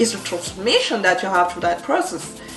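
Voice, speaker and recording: In a French accent, a woman talks over noticeable background noise, with audible room echo. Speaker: entrepreneur and branding coach. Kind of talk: motivational talk to camera.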